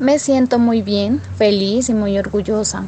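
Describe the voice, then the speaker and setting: A woman talks fairly slowly while noticeable noise sounds in the background. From Colombia, Putumayo (Puerto Asís). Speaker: interviewee, rural migrant. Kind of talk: personal testimony.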